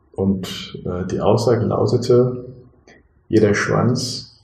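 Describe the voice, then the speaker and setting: A man speaks at a very slow pace, and audible room echo hangs on his words. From Germany, Bonn area, partly raised in Morocco. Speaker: business team coach and father of five. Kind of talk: casual interview. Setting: at a dining table at home.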